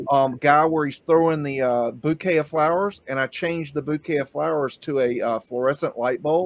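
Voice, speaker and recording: An ordinary speaking voice: a fairly high-pitched man talks at a moderate pace with fairly even intonation and hardly any pauses. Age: 50s. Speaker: livestream podcast host. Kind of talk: casual chat.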